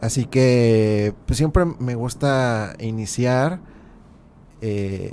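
The man's voice sits at a medium pitch. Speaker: podcast host. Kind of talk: casual interview.

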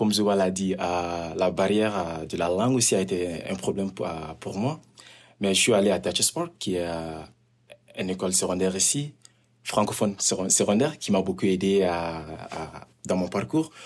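A man's very deep, low voice moves at a fairly slow pace with ordinary pitch variation. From Mali. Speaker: community worker. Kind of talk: interview.

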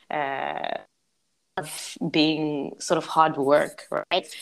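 Very deep and low, a woman's voice carries vocal fry. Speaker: multidisciplinary artist and designer. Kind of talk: casual chat.

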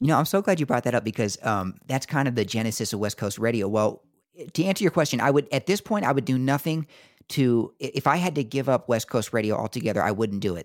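A man with an American accent talks at a very fast pace with lively intonation, in a dry, close sound with no echo on a very clean recording with a silent background. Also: medium pitch for a man. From US Southeast, military family. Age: 20s. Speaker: podcast host. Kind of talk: casual interview chat.

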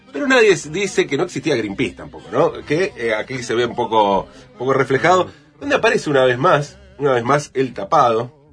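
A man speaks at a fairly quick pace and a medium pitch with lively intonation. His loudness swings widely over noticeable background noise. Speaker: radio columnist. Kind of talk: radio segment on tango lyrics.

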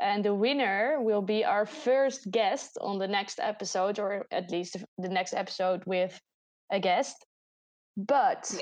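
A woman speaks with a Dutch accent. Her pace is fairly slow. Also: medium pitch for a woman, ordinary pitch variation. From Netherlands. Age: 20s. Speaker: podcast host and student. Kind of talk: casual chat.

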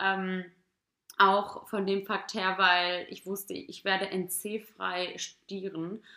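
The voice moves at a very slow pace with a bright, sharp tone and monotone, flat intonation. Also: woman, medium pitch for a woman. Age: 20s. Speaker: podcast host and student. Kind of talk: casual solo Q&A podcast. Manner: chatty with fillers.

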